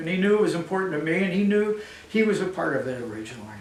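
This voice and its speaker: Fairly quick speech from a man, with audible room echo and noticeable background noise. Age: 70s. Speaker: community volunteer organizer and donor. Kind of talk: speech at a breakfast event. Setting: event with live audience.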